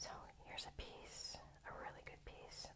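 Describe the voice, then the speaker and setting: The speaker is a woman who whispers. She keeps to a moderate pace. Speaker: ASMR creator and rock collector. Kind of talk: ASMR rock-collection show-and-tell with reading from a book. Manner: whispered; casual, chatty with filler words.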